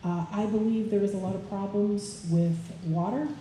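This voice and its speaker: Heard with audible room echo, a woman with an American accent speaks with ordinary pitch variation. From upper Midwest, Wisconsin. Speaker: political candidate, college professor. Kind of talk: candidate forum speech.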